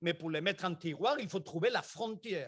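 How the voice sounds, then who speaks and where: A man with a Spanish accent speaks at a high pitch. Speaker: engineering researcher. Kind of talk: conference talk.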